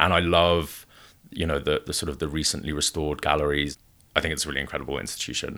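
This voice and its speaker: A man talks at a very fast pace in a very deep, low voice with vocal fry. His intonation stays monotone and flat. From Wales. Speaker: gallery founder. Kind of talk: interview.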